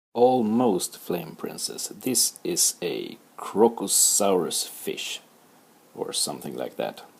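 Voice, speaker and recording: A man with a Swedish accent speaks at a very slow pace. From Sweden. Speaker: art teacher. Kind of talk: tutorial. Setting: livestream.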